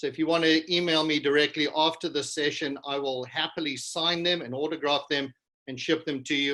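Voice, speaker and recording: This man speaks with a South African accent, fairly quickly, in a fairly high pitch with a bright, sharp tone and fairly even intonation. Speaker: business culture consultant. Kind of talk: keynote presentation.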